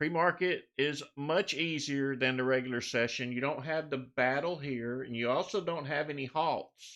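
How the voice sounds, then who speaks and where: A man with a plain, everyday voice and a fairly high pitch speaks at a moderate pace with ordinary pitch variation and hardly any pauses. The background is quiet. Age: 60s. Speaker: stock trading live streamer. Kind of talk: live stream tutorial. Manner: casual.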